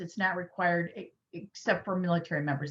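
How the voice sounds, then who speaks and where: A woman with an American accent talks at a fairly quick pace, her fairly low voice somewhat breathy. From Michigan. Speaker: lawyer. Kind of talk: lecture. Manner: fast.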